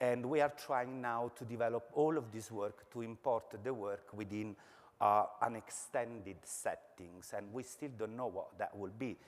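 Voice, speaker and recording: This man speaks with an Italian accent at a medium pitch. His pace is fairly slow and his intonation fairly even. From Italy. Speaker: architecture lecturer. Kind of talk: academic presentation. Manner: halting, many filler words.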